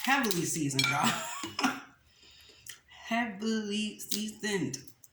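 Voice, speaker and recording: The speaker talks very slowly with very wide swings in pitch. Noticeable background noise and audible room echo fill the recording. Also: woman. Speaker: mukbang youtuber. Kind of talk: casual eating chat to camera. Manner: animated.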